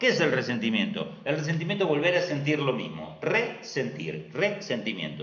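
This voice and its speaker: A man speaks at a moderate pace with an Argentine accent, with audible room echo and noticeable background noise. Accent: Argentine Spanish (Rioplatense). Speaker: astrologer. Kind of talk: live stream talk.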